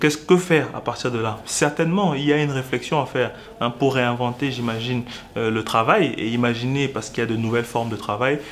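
Light background noise sits behind a man's voice. He talks at a very fast pace with ordinary pitch variation. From Cameroon. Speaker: lawyer and business association spokesperson; lawyer, civil society spokesman. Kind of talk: interview. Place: studio.

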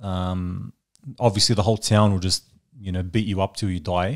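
A man's low-pitched voice at a moderate pace, with fairly even intonation. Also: very clean recording, silent background.

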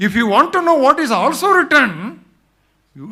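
A man speaks in a raised, projected voice at an extremely high pitch. His tone is bright and sharp, with very wide pitch swings. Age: 70s. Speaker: preacher. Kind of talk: sermon.

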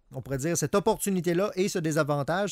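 The background is quiet. A man talks very fast, with ordinary pitch variation. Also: dry sound with no echo. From Quebec. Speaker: psychologist co-host. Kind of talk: radio call-in advice show. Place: studio.

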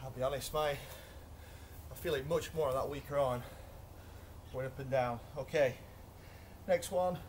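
Pausing long and often, a man talks at a fairly slow pace in a somewhat breathy voice with ordinary pitch variation, over light background noise. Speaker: fitness instructor. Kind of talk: workout instruction. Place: garden. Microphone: camera far.

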